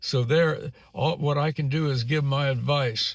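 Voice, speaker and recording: The voice is somewhat breathy, with ordinary pitch variation. It goes at a fairly slow pace. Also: man. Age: 80s+. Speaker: YouTuber, retiree. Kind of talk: casual vlog monologue. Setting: in a car, filming while driving. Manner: halting, many repetitions and fillers.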